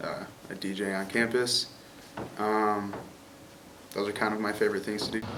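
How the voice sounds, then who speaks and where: Over noticeable background noise and audible room echo, a man with an American accent talks at a moderate pace. His fairly low voice stays monotone and flat. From Chicago. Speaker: college student. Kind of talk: interview.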